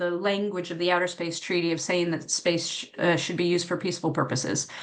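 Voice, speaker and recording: Audible room echo surrounds a woman of medium pitch speaking with an American accent. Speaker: academic space policy researcher. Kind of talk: conference panel talk. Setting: conference panel with audience.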